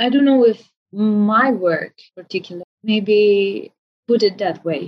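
Speaking with a Romanian accent, a woman talks at a very slow pace in a medium pitch. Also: ordinary pitch variation. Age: 20s. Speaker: orchestral oboist. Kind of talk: interview conversation. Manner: halting, many fillers and repetitions.

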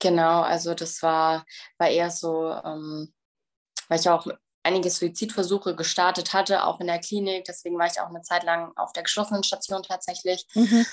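Her intonation stays monotone and flat at a moderate pace. The woman's pitch is fairly low, and the background is quiet. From Bavaria, Germany. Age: 20s. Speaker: bodybuilding athlete and recovery coach. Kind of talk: personal testimony interview.

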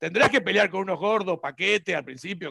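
A man projects his voice in a raised, bright, sharp tone at a fairly quick pace. The recording is dry and close, with no echo. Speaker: reverse engineering teacher. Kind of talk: interview conversation.

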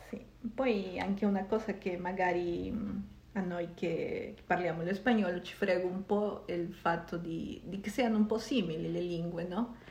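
With a Spanish accent, a woman speaks fairly slowly at a medium pitch and a fairly even intonation, with audible room echo and noticeable background noise. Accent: Spanish-accented Italian. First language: Spanish (speaking Italian). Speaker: podcast host. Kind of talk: casual chat.

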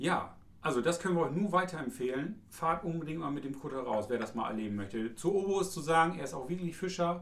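A man speaks at a very fast pace with lively intonation. Audible room echo and noticeable background noise surround his voice. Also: fairly high pitch for a man. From East Frisia, northern Germany. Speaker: tourism office employee, podcast co-host. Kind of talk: casual chat.

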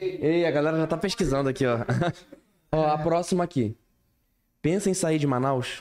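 A man with a fairly high voice talks at a moderate pace, his loudness very even and his pitch varying in an ordinary way, with long, frequent pauses. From various Brazilian cities, military family. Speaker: podcast host. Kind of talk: casual chat.

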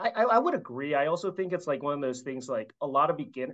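With a plain, everyday voice, this man speaks fairly quickly at a fairly high pitch, his intonation lively. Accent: American. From US Midwest (Chicago). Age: 30s. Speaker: finance professional and fitness dad.

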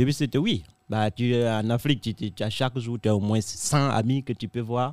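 An ordinary speaking voice at a moderate pace with ordinary pitch variation, in a dry, close sound with no echo. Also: man, medium pitch for a man. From Africa. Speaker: comedian. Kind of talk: casual chat.

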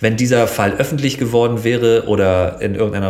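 A man speaks at a fairly quick pace with fairly even intonation, and the room echo is audible. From northern Germany, Schleswig-Holstein near Hamburg. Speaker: TV presenter. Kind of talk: casual chat. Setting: in a living room.

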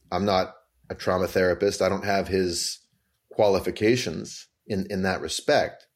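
A man with a Canadian accent speaks at a moderate pace in a fairly low pitch. His intonation is monotone and flat, on a very clean recording with a silent background. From Canada, Vancouver. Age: 40s. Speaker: author and musical theater writer. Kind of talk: interview conversation.

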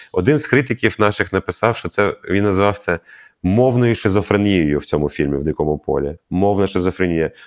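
A man with a Russian accent speaks at a fairly quick pace in a fairly low pitch with lively intonation, in a dry, close sound with no echo against a quiet background. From Ukraine, Kharkiv. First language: Russian (speaking Ukrainian). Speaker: film director and radio host. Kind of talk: interview.

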